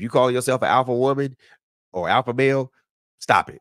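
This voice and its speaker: Recorded very cleanly against a silent background, a man speaks at a fairly quick pace with a dry, close sound that has no echo. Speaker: podcast host. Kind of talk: casual chat. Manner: soft-spoken.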